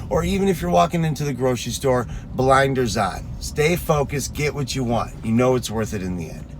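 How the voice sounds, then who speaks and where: A man with a medium pitch talks at a fairly quick pace, with audible room echo and noticeable background noise. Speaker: fitness coach. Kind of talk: motivational talk. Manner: early morning voice.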